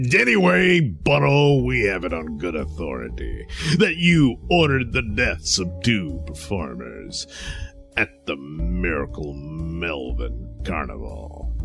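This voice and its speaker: Putting on a character voice, a man speaks at a very deep, low pitch and a fairly slow pace over clear background music. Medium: audio drama. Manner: blustering, easily exasperated.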